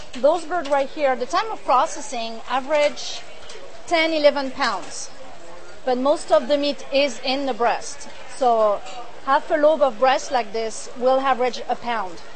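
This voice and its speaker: A woman's high voice with a French accent, fairly slow, with ordinary pitch variation and audible room echo. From France. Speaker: duck producer. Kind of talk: cooking demonstration interview.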